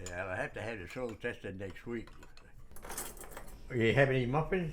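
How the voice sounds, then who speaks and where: With lively intonation, a man speaks at medium pitch and a moderate pace. Audible room echo is present. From Massachusetts, New Bedford. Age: 80s+. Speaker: senior tennis player. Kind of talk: documentary interview.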